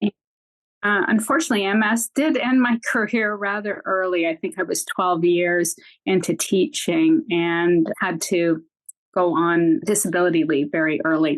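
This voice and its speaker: In a Canadian accent, a woman with an ordinary speaking voice talks at a moderate pace and medium pitch, her intonation lively. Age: 60s. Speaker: retired teacher with multiple sclerosis. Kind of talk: interview testimony.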